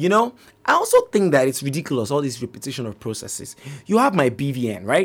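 At a very fast pace, a man with a medium pitch talks in an animated tone with lively intonation. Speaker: podcast host. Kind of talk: casual monologue. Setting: studio.

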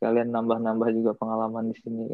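Talking at a very fast pace, a man uses a medium pitch. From Indonesia. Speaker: Indonesian student abroad. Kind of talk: casual chat.

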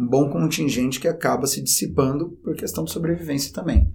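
This man talks at a fairly quick pace in a fairly high voice. Background noise is noticeable throughout. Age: 30s. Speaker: teacher. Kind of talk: educational podcast chat.

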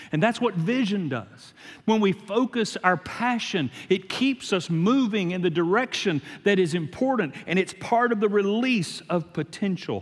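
A man speaks with a Louisiana accent at a fairly slow pace. His pitch is high, with ordinary variation. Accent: Louisiana Southern US. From US South, Shreveport, Louisiana. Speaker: guest preacher. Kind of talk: sermon.

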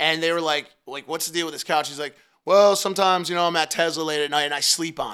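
On a very clean recording with a silent background, a man speaks very fast in a fairly high, bright, sharp voice with monotone, flat intonation and big swings in loudness. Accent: American. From Connecticut, US. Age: 30s. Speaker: social media marketing manager. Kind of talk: casual interview.

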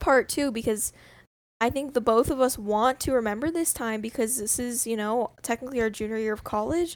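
A woman with a fairly high pitch speaks at a moderate pace in an ordinary speaking voice on a very clean recording with a silent background. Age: 20s. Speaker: student podcast co-host. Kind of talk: casual chat.

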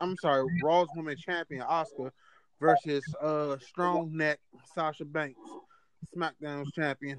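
A man with a Washington DC accent speaks in a monotone, flat intonation at a fairly high pitch, leaving long, frequent pauses. The sound is dry and close, with no echo. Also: fairly slow pace. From Washington DC area. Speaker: wrestling podcast co-host. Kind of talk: casual banter about wrestling.

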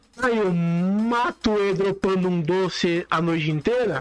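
A man's high-pitched, lively voice at a fairly slow pace, over noticeable background noise. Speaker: podcast host. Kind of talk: casual monologue.

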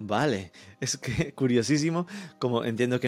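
Over background music, the talking proceeds at a moderate pace, pitch rising and falling in an ordinary way. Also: man. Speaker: podcast host. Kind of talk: scripted intro and ads; interview.

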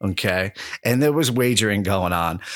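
On a very clean recording with a silent background and a dry, close sound with no echo, a man in a plain, everyday voice talks at a moderate pace, fairly low in pitch, with lively intonation. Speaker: podcast co-host. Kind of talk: casual sports chat.

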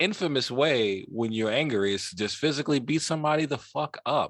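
The intonation here is lively, delivered with a New York accent. The background is quiet. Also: man. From New York (Queens). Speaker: podcast co-host. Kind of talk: casual chat. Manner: animated.

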